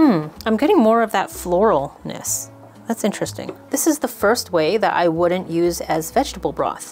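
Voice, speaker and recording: The pace of the speech is moderate. Background music plays throughout. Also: woman. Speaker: channel host. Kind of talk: cooking tutorial chat. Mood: cheerful, light. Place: kitchen.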